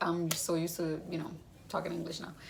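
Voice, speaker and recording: A woman with a Spanish accent, plus audible room echo. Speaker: vlogger sharing cancer journey. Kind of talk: casual video update. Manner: casual, rambling.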